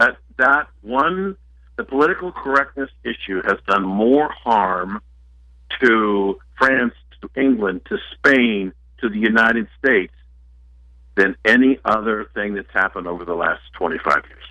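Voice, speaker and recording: An unremarkable speaking voice moves at a fairly slow pace with lively intonation. Its loudness swings widely. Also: man, medium pitch for a man. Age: 60s. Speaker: author. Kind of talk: talk radio interview.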